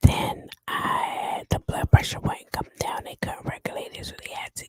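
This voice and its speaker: A woman whispers in a dry, close sound with no echo. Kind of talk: ASMR whispered story time. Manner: whispered.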